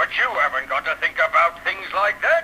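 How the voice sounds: Against faint background noise, a man performs a put-on character voice at a moderate pace, bright and sharp in tone, fairly high in pitch and with big pitch swings.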